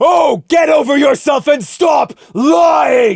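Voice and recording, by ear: In a put-on character voice, the speaker bellows in a raised, shouting voice at a slow pace, with vocal fry and lively intonation.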